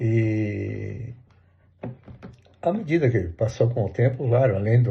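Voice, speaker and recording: Somewhat breathy, the voice has a dark, mellow tone and ordinary pitch variation. It moves at a very slow pace. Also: man. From southern Brazil, Santa Catarina interior. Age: 60s. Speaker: interviewee recalling the dictatorship. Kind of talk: oral history interview. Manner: hesitant, many fillers and repeats.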